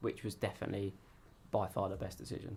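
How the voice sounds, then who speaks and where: He speaks at a very fast pace. The man's voice is somewhat breathy. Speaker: amateur racing driver. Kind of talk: interview. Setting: radio studio. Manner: casual, hesitant with fillers.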